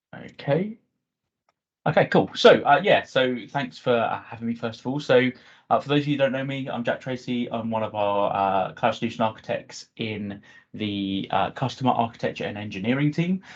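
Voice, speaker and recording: A man with a British accent speaks at a moderate pace, with a medium pitch and ordinary pitch variation. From UK. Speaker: cloud solution architect. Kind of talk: technical presentation. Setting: video call. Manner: hesitant, many fillers.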